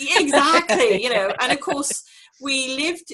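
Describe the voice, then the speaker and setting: A woman's bright, sharp voice with an English accent and lively intonation. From England. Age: 60s. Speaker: clairvoyant and medium. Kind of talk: interview.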